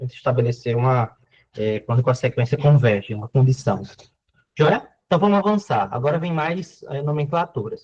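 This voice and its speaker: The man's intonation is lively and his voice is somewhat breathy. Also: medium pitch for a man. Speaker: university math lecturer. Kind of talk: online lecture. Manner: fast.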